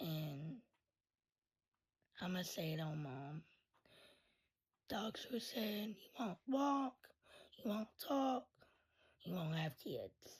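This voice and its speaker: A woman talks at a very slow pace with long, frequent pauses, her somewhat breathy voice making very wide pitch swings. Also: medium pitch for a woman. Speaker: content creator sharing life story. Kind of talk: storytime monologue. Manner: voice cuts in and out; casual, halting.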